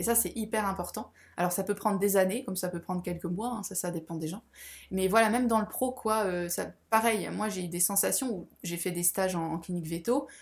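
The recording is very clean with a silent background. A woman speaks at a medium pitch and a fairly quick pace with ordinary pitch variation. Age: 30s. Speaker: spiritual guide. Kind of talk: casual chat. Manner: halting.

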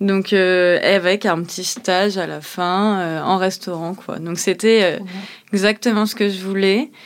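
A woman talks very slowly, her medium pitch held in fairly even intonation. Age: 30s. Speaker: chef. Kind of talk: interview testimony. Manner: hesitant, many fillers.

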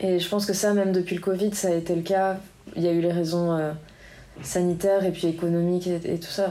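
Room echo is audible. The pace is very fast. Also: woman. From France, Biarritz. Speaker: musician and professional surfer. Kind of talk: interview. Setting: association office.

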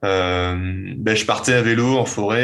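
The recording is very clean, and the background is silent. A man talks with ordinary variation in pitch. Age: 20s. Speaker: night landscape photographer. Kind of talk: interview. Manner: halting, frequent repetitions.

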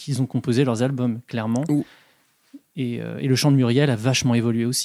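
A man's medium-pitched voice with a dark, mellow tone, fairly even intonation and a fairly quick pace. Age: 30s. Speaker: music fan guest. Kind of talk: casual chat.

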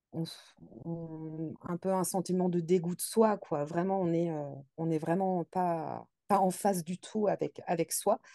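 Against a quiet background, a woman with a fairly low pitch and a dark, mellow tone speaks at a very slow pace with fairly even intonation, the sound dry and close with no echo. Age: 30s. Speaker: nurse. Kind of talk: interview testimony. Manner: halting.

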